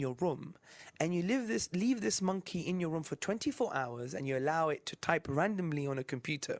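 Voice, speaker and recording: A man with a British accent speaks at a high pitch with lively intonation. The recording is very clean, with a silent background. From UK. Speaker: Islamic apologist presenter. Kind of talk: religious lecture. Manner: stutters slightly.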